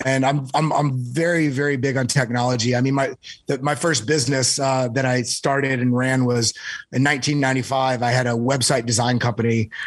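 A man speaks at a moderate pace with a medium pitch. He has an ordinary speaking voice. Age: 30s. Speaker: crypto trader. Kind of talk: casual chat.

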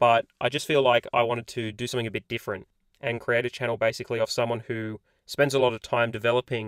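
A man with an Australian accent at a very fast pace, in a very clean recording with a silent background and a dry, close sound with no echo. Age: 20s. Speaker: personal finance YouTuber. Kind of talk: casual vlog monologue. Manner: casual, filler-heavy.

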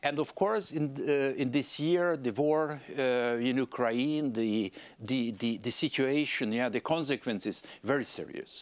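In a very clean recording with a silent background, a man with a Hungarian accent speaks at a fairly slow pace with ordinary pitch variation. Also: medium pitch for a man. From Hungary. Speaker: politician. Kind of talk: interview. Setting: studio.

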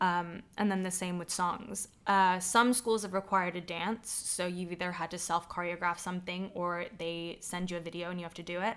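A woman's plain, everyday voice, fairly low-pitched, with hardly any pauses, on a very clean recording with a silent background. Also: moderate pace. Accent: American. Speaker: actress and singing teacher. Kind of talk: casual interview chat.

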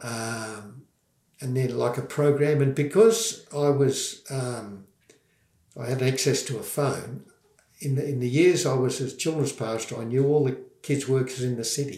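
Here a man speaks with an Australian accent at a medium pitch. His pace is fairly slow and his pitch variation ordinary. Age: 70s. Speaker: former children's pastor and war veteran. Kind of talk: testimony.

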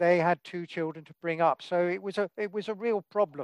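A high-pitched man with fairly even intonation, over a quiet background. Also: dry, close sound with no echo. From England. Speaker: author. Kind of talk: interview.

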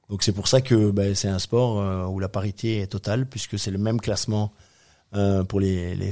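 A man's fairly low, dark, mellow voice at a moderate pace, with fairly even intonation, in a very clean recording with a silent background. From Belgium, Brussels. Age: 50s. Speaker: ocean racing sailor and entrepreneur. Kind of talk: interview. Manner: hesitant, many fillers.

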